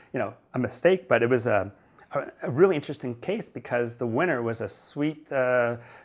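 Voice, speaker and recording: Speech moves along fairly quickly. The pitch rises and falls in an ordinary way. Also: man. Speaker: charity auction founder, online auctioneer. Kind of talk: interview answer. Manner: conversational, fluent, enthusiastic.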